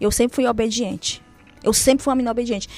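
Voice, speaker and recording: A woman talks with fairly even intonation. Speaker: churchgoer sharing conversion story. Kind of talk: testimony. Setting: radio studio.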